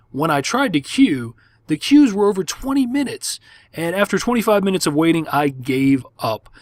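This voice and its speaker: In a very clean recording with a silent background, a man with a high pitch speaks in an animated tone at a moderate pace. His pitch swings very widely, and the sound is dry and close with no echo. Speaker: gaming video host. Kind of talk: gameplay commentary.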